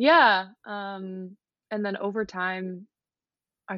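A woman's medium-pitched voice comes through over a quiet background. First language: Dutch. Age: 20s. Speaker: fashion model. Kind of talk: casual interview.

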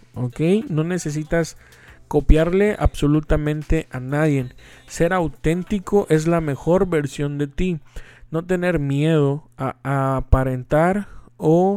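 A man speaks very slowly in a Mexican accent, his pitch fairly high with ordinary pitch variation. His tone is dark and mellow. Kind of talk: casual inspirational talk.

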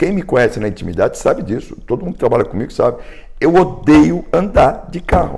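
Animated, fairly quick male delivery with big swings in loudness. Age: 60s. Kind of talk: casual chat.

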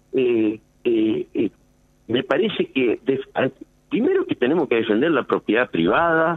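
At a fairly slow pace, a man speaks with very even loudness and long, frequent pauses. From Argentina, Reconquista (Santa Fe). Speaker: lawyer. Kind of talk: phone interview. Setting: phone call. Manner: halting.

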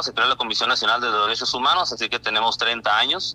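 A man is talking. Background music accompanies his voice. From Mexico, Baja California (Isla de Cedros). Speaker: local correspondent. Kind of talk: radio interview.

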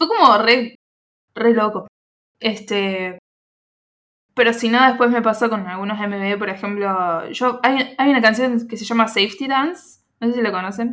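Her tone bright and sharp, a woman with a fairly high pitch speaks with ordinary pitch variation and long, frequent pauses. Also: fairly slow pace. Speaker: podcast host. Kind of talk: casual chat.

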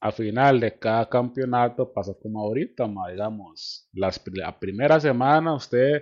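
A man speaks at a medium pitch. He has a Costa Rican accent. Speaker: podcast host. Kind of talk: casual chat.

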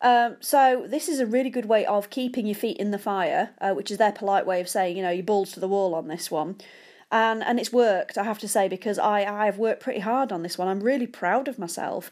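A woman with a British accent talks at a fairly quick pace in an animated tone, her medium pitch moving with ordinary variation over a very clean recording with a silent background. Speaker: podcast host. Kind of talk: casual solo podcast monologue. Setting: home, sitting on sofa. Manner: chatty, self-deprecating, animated.

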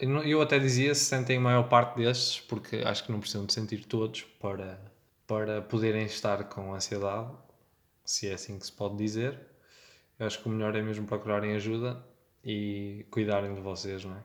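A man with an ordinary speaking voice talks at a moderate pace. His pitch is fairly low and his intonation fairly even. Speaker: podcast producer and designer. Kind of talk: casual chat.

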